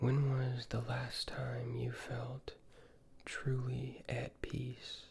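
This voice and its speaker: A soft-spoken man whispering at a very slow pace. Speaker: ASMR creator. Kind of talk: ASMR roleplay questions. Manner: soft-spoken or whispering.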